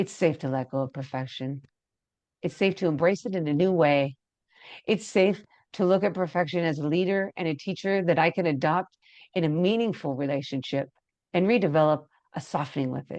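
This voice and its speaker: A woman's fairly low voice with ordinary pitch variation, long and frequent pauses, and a quiet background. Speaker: empowerment coach leading EFT tapping. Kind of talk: guided tapping meditation. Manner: slow, soothing with audible breaths; loud.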